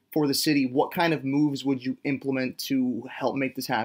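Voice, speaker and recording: Recorded very cleanly against a silent background, a man with a plain, everyday voice speaks at a fairly high pitch with fairly even intonation. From Canada. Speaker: songwriter. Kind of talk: interview.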